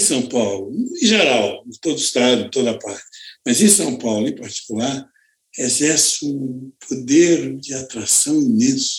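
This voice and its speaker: A man of medium pitch talks fairly slowly, his voice swinging very widely up and down. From Campos, Rio de Janeiro state, Brazil. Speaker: director of a cultural institution. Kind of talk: interview conversation.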